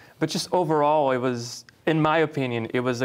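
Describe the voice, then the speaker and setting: On a very clean recording with a silent background, a man with a Portuguese accent speaks at a moderate pace in a medium pitch with ordinary pitch variation. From Brazil. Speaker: talk show host. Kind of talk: casual interview chat.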